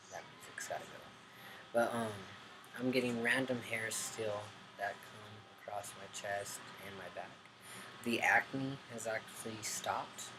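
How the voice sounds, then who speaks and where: A man talks at a fairly slow pace in a flat, monotone way, with long and frequent pauses. Room echo is audible, and background noise is noticeable. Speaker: vlogger. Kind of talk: casual video update. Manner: mumbling; hesitant, many ums.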